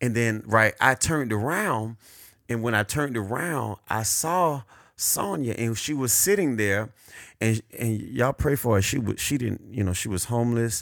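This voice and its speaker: With an American accent, a man speaks at a moderate pace in a medium pitch and an animated tone. His pitch variation is ordinary, and the recording is very clean with a silent background. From South Florida. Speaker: podcast co-host. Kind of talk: casual chat.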